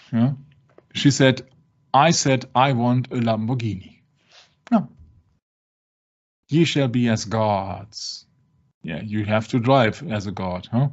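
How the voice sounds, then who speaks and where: With a non-native accent, a man talks very slowly at medium pitch, leaving long, frequent pauses and using ordinary pitch variation. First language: not English. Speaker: religious discussion show host. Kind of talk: casual discussion. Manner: halting.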